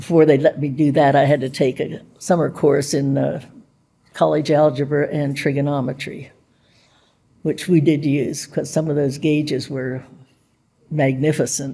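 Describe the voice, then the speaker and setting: A woman speaks in a very deep, low voice at a moderate pace, her intonation monotone and flat. She leaves long, frequent pauses. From US, Pittsburgh. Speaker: WWII navy codebreaker veteran. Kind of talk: oral history interview. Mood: warm, reflective. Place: hall.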